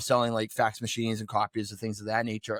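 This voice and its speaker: A strong Boston accent comes through in a dry, close sound with no echo. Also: man. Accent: pronounced Boston. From New England, Boston area. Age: 40s. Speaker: real estate investor. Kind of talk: podcast interview, personal story.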